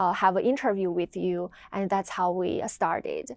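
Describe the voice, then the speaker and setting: A woman with a Chinese accent, on a very clean recording with a silent background. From China. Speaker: video editor. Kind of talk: interview. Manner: hesitant, many fillers.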